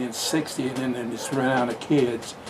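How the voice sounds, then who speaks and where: A man's medium-pitched voice with an American accent, with audible room echo and noticeable background noise. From southwestern Oklahoma, US. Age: 90s. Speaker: World War II veteran and business founder. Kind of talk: interview, personal life story. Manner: halting, with restarts.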